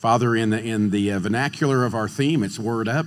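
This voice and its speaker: Audible room echo surrounds a man speaking at a fairly quick pace and medium pitch. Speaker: minister. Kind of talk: introduction and opening prayer. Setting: stage with audience.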